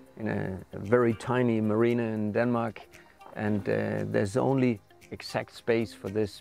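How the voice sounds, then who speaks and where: Over faint background music, a man speaks at a moderate pace with fairly even intonation. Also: dry sound with no echo. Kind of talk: interview answer. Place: boat. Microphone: lapel.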